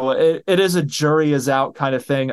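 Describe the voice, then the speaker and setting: Over a quiet background, a man with a normal speaking voice talks at a fairly slow pace in a fairly high pitch. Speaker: podcast host. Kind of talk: casual chat. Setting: at home, video stream.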